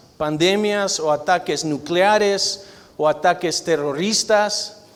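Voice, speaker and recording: A high-pitched man at a very slow pace, ordinary pitch variation, noticeable background noise. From Argentina. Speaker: guest preacher, physician. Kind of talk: sermon. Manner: loud.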